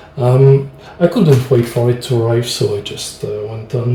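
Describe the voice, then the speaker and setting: With a French accent, a man talks fairly slowly at a medium pitch. Background noise is noticeable. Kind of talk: board game playthrough narration. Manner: hesitant.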